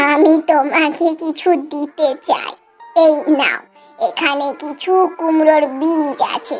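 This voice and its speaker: A cartoonish character voice talks at a fairly slow pace over faint background music. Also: woman, high pitch for a woman. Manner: feeble, humble.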